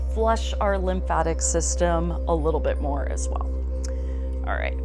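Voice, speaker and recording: Over music in the background, a woman speaks very slowly in a very deep, low pitch with a calm, gentle tone. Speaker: fitness trainer and yoga teacher. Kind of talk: guided stretching class instruction. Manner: calm, gentle, instructional.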